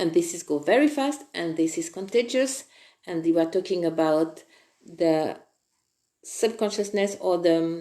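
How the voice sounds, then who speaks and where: Here a woman speaks in a French accent at a fairly slow pace. Her voice is fairly low in pitch with a dark, mellow tone. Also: lively intonation. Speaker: spiritual online presenter. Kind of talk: live-streamed spiritual talk.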